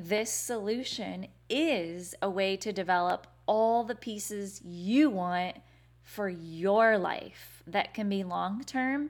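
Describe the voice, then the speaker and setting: With an American accent, the speaker sounds upbeat, with ordinary pitch variation, on a very clean recording with a silent background. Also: woman. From Indiana. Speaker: podcast host, former teacher turned business coach. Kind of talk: solo podcast monologue. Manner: casual, upbeat with fillers.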